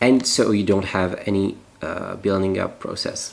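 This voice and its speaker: With a French accent, a man speaks at a fairly slow pace and fairly low pitch amid noticeable background noise. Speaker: natural cosmetics maker. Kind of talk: tutorial. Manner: halting.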